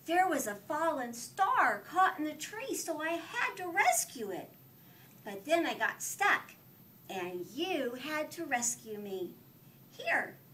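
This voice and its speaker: A woman's put-on character voice, high-pitched with very wide pitch swings, at a fairly slow pace. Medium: read story. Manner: polite, sweet.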